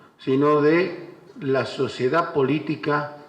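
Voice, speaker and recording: A man's somewhat breathy voice at a fairly high pitch, with ordinary pitch variation. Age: 60s. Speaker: former mayor. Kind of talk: panel speech. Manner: halting.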